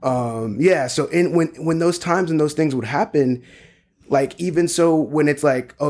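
A man's normal speaking voice with an American accent, fairly even intonation and a moderate pace. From US South, South Carolina (North Charleston). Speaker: podcast co-host, father. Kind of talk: casual chat.

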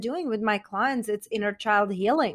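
A woman with a Czech accent at a moderate pace, with ordinary pitch variation. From Czech Republic. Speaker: meditation and confidence coach. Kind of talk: casual interview. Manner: enthusiastic.

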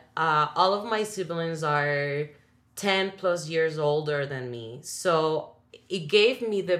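A woman with a Spanish accent speaks at a very slow pace. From Dominican Republic. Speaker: singer and actress. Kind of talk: casual conversation interview.

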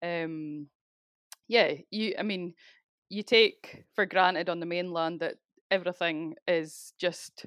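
A woman speaks with a Scottish accent. Her pitch sits fairly low. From Scotland, Speyside. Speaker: crofter and rural business owner. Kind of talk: interview.

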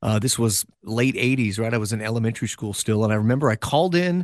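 An enthusiastic man speaks with an American accent at a fairly quick pace. The background is quiet. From Los Angeles County, California. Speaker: radio DJ. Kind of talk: interview.

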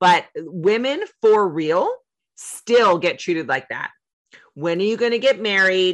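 A woman's medium-pitched, ordinary speaking voice, fairly slow, with lively intonation. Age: 40s. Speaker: podcast host. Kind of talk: casual interview.

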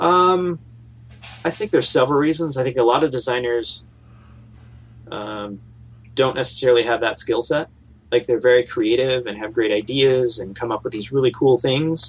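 Pausing long and often, a man with a somewhat breathy voice speaks at a moderate pace and medium pitch with ordinary pitch variation. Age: 40s. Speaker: game store owner and game designer. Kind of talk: interview. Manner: halting, many fillers.

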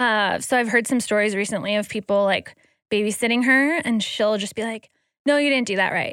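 An ordinary speaking voice from a woman, fairly high in pitch with ordinary variation, at a fairly quick pace in a very clean recording with a silent background. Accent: American. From Wisconsin, Green Bay. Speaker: guest, mother. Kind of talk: casual chat.

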